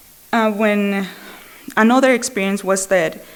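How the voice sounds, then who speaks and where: A woman is talking in a medium pitch. Noticeable background noise can be heard behind her. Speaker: Al-Anon speaker. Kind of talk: recovery testimony. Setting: speaker meeting with audience. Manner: conversational, many fillers.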